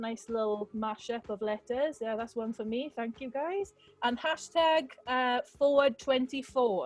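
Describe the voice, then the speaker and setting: A woman speaks with a Welsh Valleys accent at a high pitch and a fairly slow pace, with hardly any pauses. Music plays in the background. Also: ordinary pitch variation. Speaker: rally host. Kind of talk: event hosting. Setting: video call. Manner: casual, upbeat.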